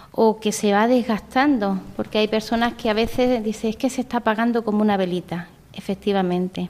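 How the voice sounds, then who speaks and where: A woman with a fairly high voice talks at a moderate speed. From Andalusia, Spain (Vélez-Málaga). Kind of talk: interview testimony.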